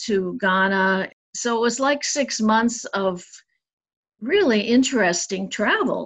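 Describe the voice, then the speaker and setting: Over a quiet background, a woman talks in a normal speaking voice with an American accent, fairly high pitch and fairly even intonation. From US Midwest and Northeast. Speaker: sculptor and painter. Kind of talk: casual interview.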